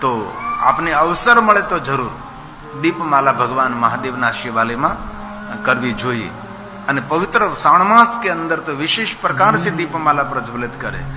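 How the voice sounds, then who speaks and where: A man with a fairly high pitch makes very wide pitch swings. Audible room echo and noticeable background noise accompany him. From Gujarat, India. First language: Gujarati (speaking Hindi). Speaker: religious storyteller (katha preacher). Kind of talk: religious discourse (katha).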